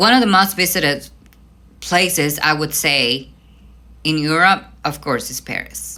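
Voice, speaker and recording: With a Mexican accent, a woman speaks at a moderate pace in a very deep, low pitch, her tone bright, sharp and animated. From Mexico, Veracruz. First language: Spanish. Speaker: vlogger. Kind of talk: casual rant.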